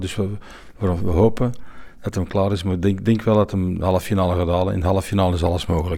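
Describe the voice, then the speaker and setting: A man talks at a very fast pace in a very deep, low pitch with a dark, mellow tone. The recording is very clean, with a silent background. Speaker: sommelier and event organiser. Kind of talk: interview. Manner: halting.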